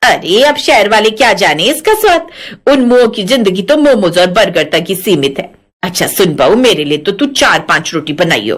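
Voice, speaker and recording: A woman puts on a rumbling character voice at a medium pitch. She moves at a moderate pace with very wide pitch swings. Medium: audio drama. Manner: bossy, grumbling.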